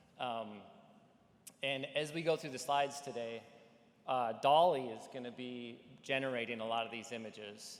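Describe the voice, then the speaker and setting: Audible room echo surrounds a voice with a slight Midwestern accent, moving at a moderate pace with fairly even intonation. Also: man. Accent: slight Midwestern, Fargo. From North Dakota, Fargo. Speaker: AI company executive. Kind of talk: conference presentation. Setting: conference stage with audience. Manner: casual, filler-heavy.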